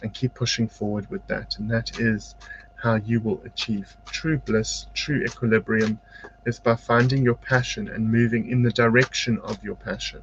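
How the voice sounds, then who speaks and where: A man speaks with a South African accent. Background noise is noticeable. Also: moderate pace. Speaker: psychic medium and spiritual teacher. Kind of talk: live-stream tarot-style card reading and motivational talk. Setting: home studio, live video broadcast. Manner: varies between quiet and loud.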